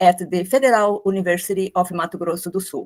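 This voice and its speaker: A woman is speaking with a Brazilian Portuguese accent. Her voice sits at a medium pitch. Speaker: architect and professor. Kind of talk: academic presentation. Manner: formal.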